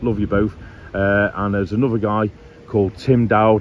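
In a dry recording with no echo and light background noise, a man with an unremarkable speaking voice talks at a moderate pace, his pitch fairly low and his intonation fairly even. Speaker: travel vlogger. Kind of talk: casual vlog chat. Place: beach. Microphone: phone near.

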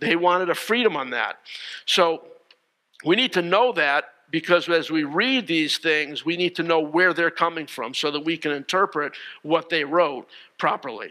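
A man's high pitch and bright, sharp tone at a moderate pace, with ordinary pitch variation and a quiet background. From Connecticut, US. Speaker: pastor; preacher. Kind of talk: sermon. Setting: church, streamed online with no congregation. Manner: halting, frequent fillers and repeated words. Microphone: headset.

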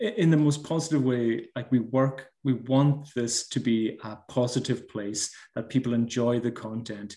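Over a quiet background, a man with a Hebridean accent speaks at a fairly slow pace in a dark, mellow tone. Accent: Scottish Hebridean. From Scotland. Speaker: baker and social media creator; social media creator. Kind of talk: casual interview. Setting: video call. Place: home room. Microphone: video call.

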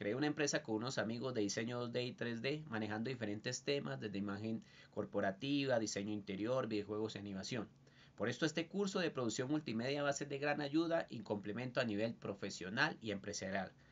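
Speaking fairly quickly, a man uses lively intonation. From Colombia, Bogotá. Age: 30s. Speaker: student and industrial designer. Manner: formal. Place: home room. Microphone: webcam.

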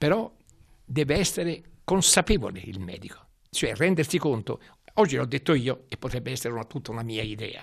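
A man in a Florentine accent at medium pitch, fairly quick in pace yet with long, frequent pauses, very wide pitch swings and big swings in loudness, against a quiet background. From Tuscany, Florence. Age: 90s. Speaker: retired hospital physician; interviewee, professor. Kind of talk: interview testimony. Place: home room. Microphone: handheld.

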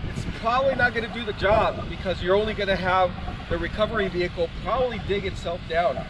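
Recorded with a dry sound and no echo but noticeable background noise, a man speaks at a moderate pace. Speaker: overlanding vlogger. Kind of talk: tutorial. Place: beach.

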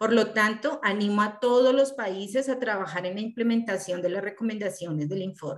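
A woman speaks very fast with hardly any pauses, her pitch fairly high. The pitch variation is ordinary and the background is quiet. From Colombia. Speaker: prison reform activist; speaker. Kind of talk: prepared statement in Spanish. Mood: serious, concerned. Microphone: video call.

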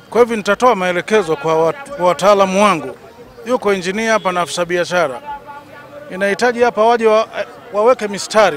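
Crowd noise fills the background while a man talks at a fairly quick pace. His voice is high-pitched, with a dry sound and no echo. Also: ordinary pitch variation. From Tanzania. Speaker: city director. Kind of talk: interview. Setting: office. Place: market. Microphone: handheld.

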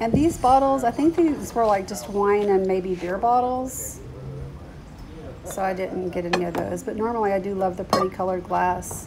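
Over noticeable background noise, a woman talks at a moderate pace with ordinary pitch variation. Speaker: thrift shopping vlogger. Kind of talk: casual vlog chat. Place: street. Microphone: phone near.

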